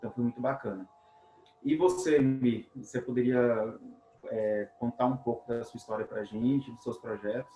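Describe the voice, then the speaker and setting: Noticeable background noise runs under this recording. A man speaks at a medium pitch with ordinary pitch variation. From Brazil, Minas Gerais near Bahia border. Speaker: webinar host, robotics teacher. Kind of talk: webinar conversation.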